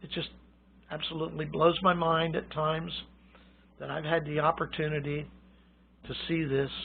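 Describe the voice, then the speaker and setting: Fairly even intonation from a man with a fairly high pitch, plus audible room echo. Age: 70s. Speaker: radio hobbyist. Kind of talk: informal lecture. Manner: casual, halting.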